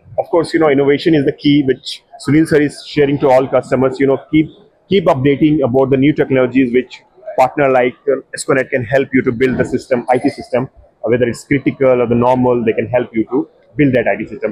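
A very fast man's voice at medium pitch, fairly even in intonation and very even in loudness, dry with no echo against a quiet background. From India. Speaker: tech video editor and interviewer; interviewer. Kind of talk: trade show interview. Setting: exhibition booth. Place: hall.

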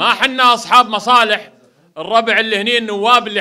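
A man uses a raised, projected voice with fairly even intonation. The background is quiet. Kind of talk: political speech. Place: home room. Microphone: handheld.

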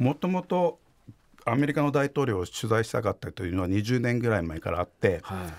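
His pitch swings very widely. The man keeps up a fairly quick pace. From Fukuoka, Japan; Japan. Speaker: investigative journalist. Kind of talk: interview. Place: studio. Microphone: studio mic.

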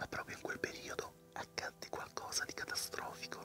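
A man whispers at a moderate pace. Music plays in the background. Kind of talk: ASMR fairy tale reading. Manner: whispered, soft-spoken.

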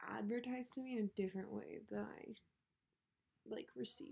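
A woman's fairly high voice with a dark, mellow tone, against a quiet background. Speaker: book vlogger. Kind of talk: casual monologue. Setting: at home, others in the house. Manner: filler-heavy. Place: home room. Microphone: may be too quiet; webcam.

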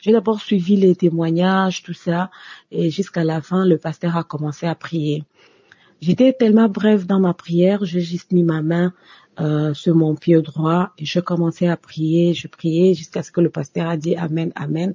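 Speaking at a fairly slow pace, a woman has a fairly low pitch and a somewhat breathy voice. Her intonation stays fairly even. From DR Congo. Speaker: office worker giving testimony. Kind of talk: recorded testimony.

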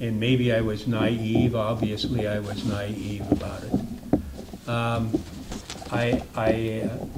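A man speaks at a very slow pace. Noticeable background noise and audible room echo are present. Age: 70s. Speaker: city council member, retired teacher. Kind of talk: council meeting debate.

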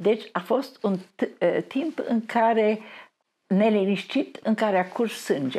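A woman speaks at a very slow pace with long, frequent pauses and a fairly high pitch. Her tone is dark and mellow, her intonation lively, and her loudness very even. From Transylvania, Romania (Brașov). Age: 90s. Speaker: artist. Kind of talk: interview.

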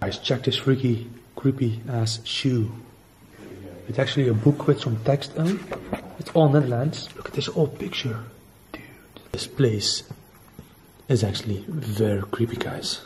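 A man speaks at a fairly slow pace, with long, frequent pauses. His pitch varies in an ordinary way, and there is noticeable background noise. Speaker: urban explorer vlogger. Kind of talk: casual vlog chat. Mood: spooked, excited. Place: empty room. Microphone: lapel.

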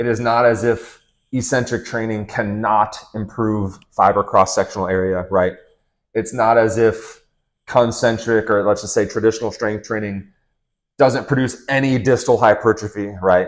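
Monotone, flat intonation marks a man's speech at a moderate pace. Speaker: fitness coach. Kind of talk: lecture. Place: home room. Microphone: lapel.

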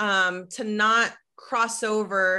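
Against a quiet background, a woman with an American accent speaks at a fairly high pitch in a bright, sharp tone. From Chihuahua, Mexico and Colorado. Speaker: nonprofit program leader; Q&A moderator. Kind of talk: interview questions. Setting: video call. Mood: warm, appreciative. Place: home room. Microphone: video call.

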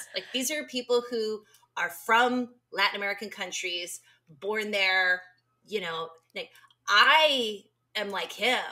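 A woman speaks at a medium pitch with an animated tone and ordinary pitch variation. Her pace is fairly slow, broken by long, frequent pauses. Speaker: podcast co-host. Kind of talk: casual chat. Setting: remote call.

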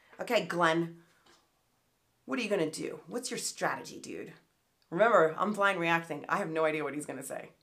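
A woman with a fairly low voice talks at a fairly quick pace, broken by long, frequent pauses. Her loudness swings widely while her pitch varies in an ordinary way. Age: 50s. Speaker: political commentary YouTuber. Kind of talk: reaction commentary. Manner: animated. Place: home room.

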